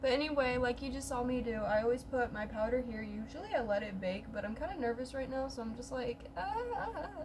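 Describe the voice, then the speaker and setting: Ordinary pitch variation runs through a woman's fairly high voice at a moderate pace, with noticeable background noise. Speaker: beauty vlogger. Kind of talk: makeup tutorial vlog.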